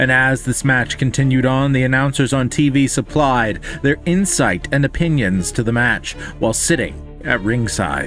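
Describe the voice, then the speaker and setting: Music plays in the background as a man talks at a moderate pace. His voice sits at a medium pitch with ordinary pitch variation and very even loudness. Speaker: storyteller. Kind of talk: rhyming story narration.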